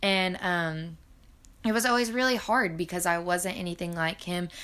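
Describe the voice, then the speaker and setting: A woman's fairly low voice with a bright, sharp tone, a moderate pace, and a Southern US accent. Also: very clean recording, silent background. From US South, Arkansas. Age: 20s. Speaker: college student podcaster. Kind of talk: casual monologue. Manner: hesitant, many fillers.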